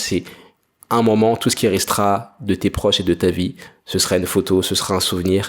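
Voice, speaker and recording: The speech moves at a moderate pace with fairly even intonation. The recording is very clean, with a silent background. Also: man. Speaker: entrepreneur podcaster. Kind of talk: solo monologue podcast.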